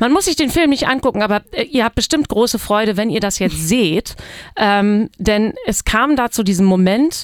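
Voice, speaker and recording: Here is an ordinary speaking voice: a woman at a fairly high pitch, with lively intonation and a fairly slow pace. The very clean recording has a silent background and a dry, close sound with no echo. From East Frisia, northern Germany. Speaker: musician. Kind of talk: casual chat. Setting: studio.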